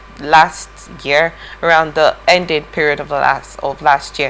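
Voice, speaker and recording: Over noticeable background noise, a woman with a very deep, low pitch talks at a fairly slow pace. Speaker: TV news presenter. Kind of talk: news discussion. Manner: halting, stuttering.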